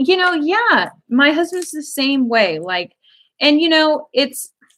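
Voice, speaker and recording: The voice is loud and fairly slow, with very wide pitch swings. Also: woman. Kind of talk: casual chat. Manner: animated.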